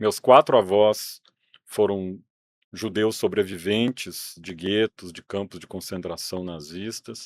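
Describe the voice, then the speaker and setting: Recorded dry and close with no echo, a man with a Minas Gerais accent speaks at a very slow pace in a fairly low voice, with ordinary pitch variation and big swings in loudness. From Brazil, Minas Gerais. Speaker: museum director, former journalist and teacher. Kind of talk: interview.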